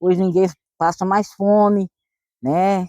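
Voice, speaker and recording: A woman's dark, mellow tone sounds dry and close, with no echo. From rural Minas Gerais, Brazil. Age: 50s. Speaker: retired farmer, quilombo resident. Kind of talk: documentary interview testimony.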